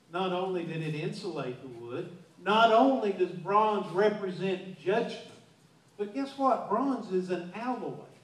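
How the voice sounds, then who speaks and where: There is audible room echo as a man speaks high in pitch, with lively intonation and big swings in loudness. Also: fairly slow pace. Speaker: pastor. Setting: church. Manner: earnest and emphatic, punching key words with repetition; halting, frequently stammers and restarts mid-sentence. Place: church. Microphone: pa.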